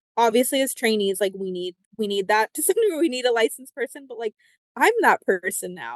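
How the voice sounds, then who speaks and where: A woman talks at a fairly quick pace with a fairly high pitch and ordinary pitch variation. The sound is dry and close, with no echo. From United States, Spanish-speaking immigrant family. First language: Spanish. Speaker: psychologist. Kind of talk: interview. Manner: casual, many fillers.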